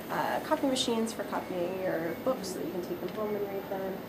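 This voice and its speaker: A woman with a West Coast US accent talks at a very fast pace and medium pitch with ordinary pitch variation, with audible room echo and noticeable background noise. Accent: General American, West Coast. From US Pacific Northwest, Seattle. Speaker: graduate student tour guide. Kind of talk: guided tour. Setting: indoors, university building. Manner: soft-spoken, quiet.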